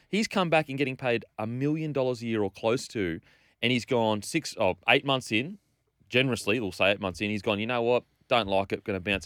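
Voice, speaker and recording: A man with an Australian accent speaks at a medium pitch with lively intonation, in a dry, close sound with no echo, on a very clean recording with a silent background. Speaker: radio sports panelist. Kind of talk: angry rant. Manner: indignant, emphatic, repeating phrases; opinionated, outspoken.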